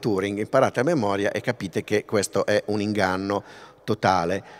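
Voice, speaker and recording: At a fairly quick pace, a man with a fairly low pitch talks in an ordinary speaking voice. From northern Italy, Pavia; Italy. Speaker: linguist, festival lecturer; festival lecturer. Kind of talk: public lecture. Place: stage. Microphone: podium.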